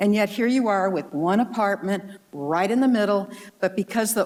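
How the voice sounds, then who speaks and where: A woman's medium-pitched voice with ordinary pitch variation over noticeable background noise. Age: 70s. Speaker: public commenter, downtown property owner. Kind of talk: public comment at city workshop.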